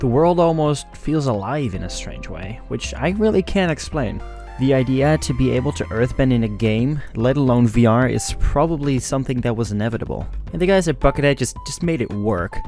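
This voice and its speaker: Over music in the background, a man speaks at a fairly quick pace with lively intonation, the sound dry with no echo. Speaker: gaming youtuber. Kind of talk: commentary.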